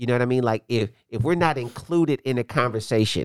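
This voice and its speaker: In a plain, everyday voice, a man with an American accent talks at medium pitch with ordinary pitch variation. The recording is very clean, with a silent background and a dry, close sound with no echo. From Indianapolis, US Midwest. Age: 40s. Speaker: pastor and kickboxing gym owner. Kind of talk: casual interview chat.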